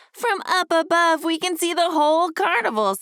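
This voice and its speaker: This woman puts on a character voice, pitched extremely high. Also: moderate pace. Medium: read story. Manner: brash, excitable.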